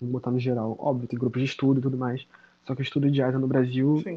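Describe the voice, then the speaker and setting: A man at a very fast pace and medium pitch. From Baixada Fluminense, Rio de Janeiro, Brazil. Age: 20s. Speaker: history master's student. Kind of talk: casual interview. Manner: animated.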